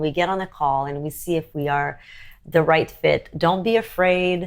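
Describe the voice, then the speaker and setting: With fairly even intonation, a woman talks in an unremarkable speaking voice. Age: 40s. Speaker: luxury fashion designer. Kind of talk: interview.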